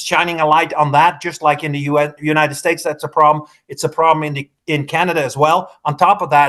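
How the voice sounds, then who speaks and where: In a Dutch accent, a man with a fairly high voice speaks in a flat monotone at a fairly quick pace with hardly any pauses. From Netherlands. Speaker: politician. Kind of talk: political interview. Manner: halting.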